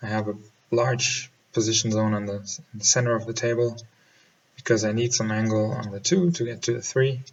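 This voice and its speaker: At a fairly quick pace, a man with a German accent talks at medium pitch with fairly even intonation. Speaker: pool player and instructor. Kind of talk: voiceover commentary. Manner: halting.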